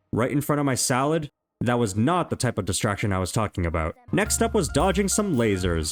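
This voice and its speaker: Music runs in the background as a man speaks at a fairly quick pace, his pitch swinging very widely. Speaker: gaming YouTuber. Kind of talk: comedic scripted gameplay narration. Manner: animated, joking.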